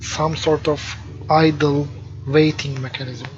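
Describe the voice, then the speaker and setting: Over background music, a man with a non-native accent speaks very slowly at a fairly high pitch. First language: not English. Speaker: game developer. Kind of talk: let's play commentary. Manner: hesitant, filler words. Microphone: poor microphone quality.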